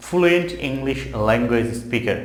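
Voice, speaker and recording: A man of medium pitch with a Bengali accent, amid audible room echo and noticeable background noise. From Bangladesh. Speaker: English teacher. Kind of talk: tutorial.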